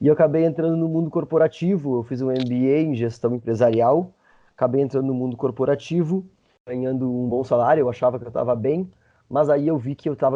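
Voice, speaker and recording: Talking fairly quickly, this man has an unremarkable speaking voice at a medium pitch that varies in ordinary fashion. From Brazil, interior of Rio Grande do Sul. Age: 30s. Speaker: travel content creator, former lawyer. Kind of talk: podcast interview.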